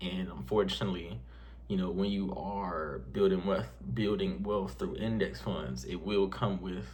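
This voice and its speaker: Speaking at a fairly slow pace with lively intonation, a man with a very deep, low pitch is heard with audible room echo. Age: 20s. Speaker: personal finance youtuber. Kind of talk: casual vlog talk to camera. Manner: halting, many fillers; unscripted, conversational.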